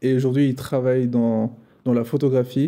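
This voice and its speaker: The man has a dark, mellow tone at a medium pitch. His intonation is fairly even, and the background is quiet. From Switzerland, Geneva. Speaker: podcast host and filmmaker. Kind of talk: interview.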